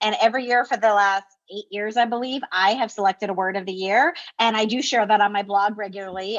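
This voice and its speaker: A woman speaks at a fairly quick pace. Her voice is fairly high, with ordinary pitch variation. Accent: American. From New Jersey. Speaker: school district administrator and coaching author. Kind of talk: interview conversation. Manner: fast.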